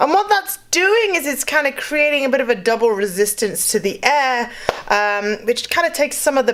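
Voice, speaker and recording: With a British accent, a woman talks at a moderate pace. Her pitch swings very widely, and noticeable background noise runs underneath. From UK. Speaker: vocal coach. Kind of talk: tutorial. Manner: casual, many fillers.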